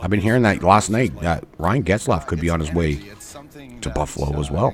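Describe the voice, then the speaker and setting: Against noticeable background noise, a man talks in an animated tone at a fairly quick pace. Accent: Canadian. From Canada. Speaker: hockey livestreamer. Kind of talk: casual live stream chat. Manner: casual, animated.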